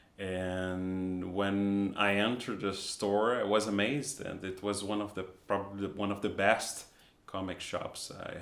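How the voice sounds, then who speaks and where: A man with a Portuguese accent speaks in a very deep, low voice with flat, monotone intonation. Audible room echo surrounds the recording. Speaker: comic artist. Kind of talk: casual vlog talk. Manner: halting, with repetitions.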